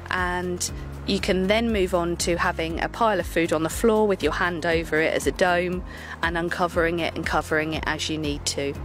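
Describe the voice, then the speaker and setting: Faint music sits in the background while a woman speaks at a fairly quick pace, the sound dry with no echo. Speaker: dog trainer. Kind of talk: tutorial. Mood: calm, patient. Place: open country.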